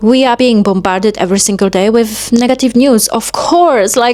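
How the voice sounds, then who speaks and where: Through noticeable background noise, a woman with a Polish accent and fairly high pitch speaks at a moderate pace with lively intonation. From Poland. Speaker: self-help vlogger. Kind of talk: motivational monologue.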